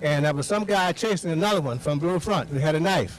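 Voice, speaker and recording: This man with an American accent has a fairly high pitch and lively intonation. He talks at a fairly quick pace over noticeable background noise. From Mississippi Delta, Hollandale. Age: 70s. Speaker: speaker at a community event. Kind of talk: public talk.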